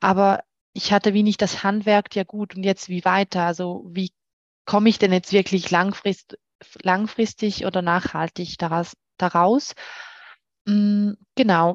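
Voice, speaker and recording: A woman's medium-pitched, monotone, flat voice at a very slow pace, with long, frequent pauses over a quiet background. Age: 30s. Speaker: client of a dating coach, works in HR. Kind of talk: interview, personal testimony. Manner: hesitant with many fillers.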